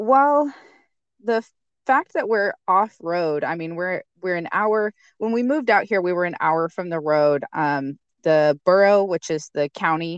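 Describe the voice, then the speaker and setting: A woman with an American accent speaks fairly slowly at a medium pitch with lively intonation in an ordinary speaking voice, the sound dry and close with no echo and a quiet background. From eastern Washington state. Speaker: homesteader. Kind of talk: casual chat.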